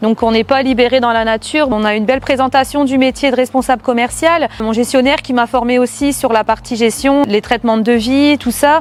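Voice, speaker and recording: Over noticeable background noise, a woman with a high pitch talks at a fairly quick pace with fairly even intonation and hardly any pauses. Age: 30s. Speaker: sales manager. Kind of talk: corporate testimony. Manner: hesitant, frequent filler sounds.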